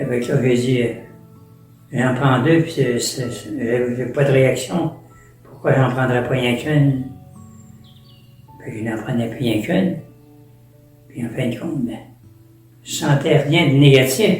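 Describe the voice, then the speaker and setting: With music in the background, a man speaks at a very slow pace in a medium pitch, with ordinary pitch variation and long, frequent pauses. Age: 80s+. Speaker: permanent deacon. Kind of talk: interview answer, personal storytelling.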